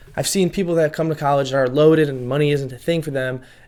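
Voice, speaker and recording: This is a man with a fairly high pitch. His intonation stays fairly even. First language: not English. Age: 20s. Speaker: self-improvement youtuber. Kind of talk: advice monologue to camera. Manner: casual, conversational with fillers.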